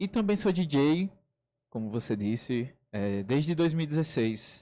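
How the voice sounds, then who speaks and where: A man's dark, mellow tone sits at a fairly high pitch and swings very widely. The recording is very clean with a silent background. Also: fairly slow pace. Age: 20s. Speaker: writer and DJ. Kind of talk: radio interview. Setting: radio studio.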